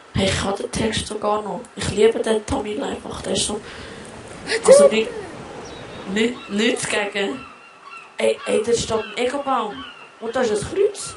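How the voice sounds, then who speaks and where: A high-pitched man with a Swiss accent at a fairly slow pace, ordinary pitch variation, long, frequent pauses and noticeable background noise. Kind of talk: casual gaming commentary.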